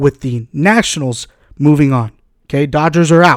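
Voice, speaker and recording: The recording sounds dry and close, without any echo. An American accent shapes the speech. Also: man. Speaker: podcast host. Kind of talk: casual podcast talk.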